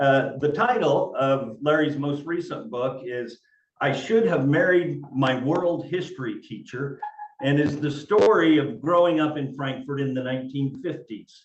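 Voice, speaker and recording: Fairly high in pitch, this man has an unremarkable speaking voice. He talks at a fairly slow pace with ordinary pitch variation. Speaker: librarian, interview host. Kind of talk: interview host talk.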